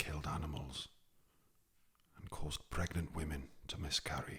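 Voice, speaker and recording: Someone whispers. The accent is Welsh. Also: moderate pace. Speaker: ASMR storyteller. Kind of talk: ASMR story narration. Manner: soft-spoken; whispering.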